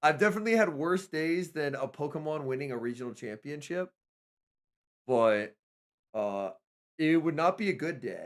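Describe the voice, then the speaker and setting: Recorded very cleanly against a silent background, a man with an American accent speaks at a moderate pace and fairly high pitch, his tone animated and intonation lively, with long, frequent pauses. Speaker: esports streamer and caster. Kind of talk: live stream commentary. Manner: casual, animated.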